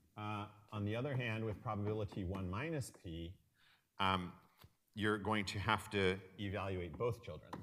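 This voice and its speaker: Speaking at a moderate pace with long, frequent pauses, a man with a fairly low pitch and ordinary pitch variation is heard in audible room echo. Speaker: university lecturer. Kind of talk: lecture. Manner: halting, with many fillers.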